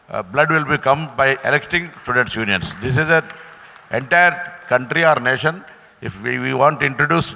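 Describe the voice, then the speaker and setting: A man speaks fairly quickly while noticeable noise carries on in the background. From India, Telangana. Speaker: politician. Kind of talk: panel discussion. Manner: halting.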